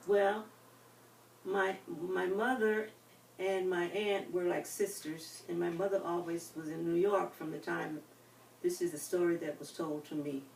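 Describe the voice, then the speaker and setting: With noticeable background noise behind her, a woman speaks with a fairly low pitch and fairly even intonation, leaving long, frequent pauses. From US South, North Carolina (Winston-Salem). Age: 80s+. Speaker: retirement home resident, life story interviewee. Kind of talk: oral history interview. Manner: halting.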